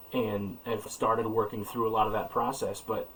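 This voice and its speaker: Words from a man come at a fairly quick pace. Noticeable background noise is present throughout. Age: 40s. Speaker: podcast host. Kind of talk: interview conversation.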